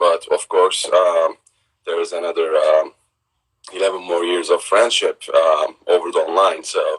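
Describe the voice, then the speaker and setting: A man with a Turkish accent speaks at a fairly slow pace. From southern Turkey (Gaziantep). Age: 30s. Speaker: businessman, trade company owner. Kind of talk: casual interview chat. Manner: halting, many fillers.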